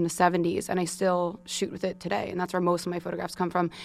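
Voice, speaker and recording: A woman's fairly low voice with monotone, flat intonation on a very clean recording with a silent background. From New York suburbs (Long Island). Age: 20s. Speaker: photographer and director. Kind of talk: casual interview chat.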